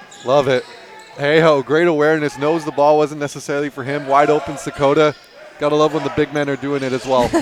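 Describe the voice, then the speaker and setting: Through noticeable background noise, a man with a fairly high voice speaks at a very fast pace in a monotone, flat intonation. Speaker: basketball color commentator. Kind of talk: live commentary. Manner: halting.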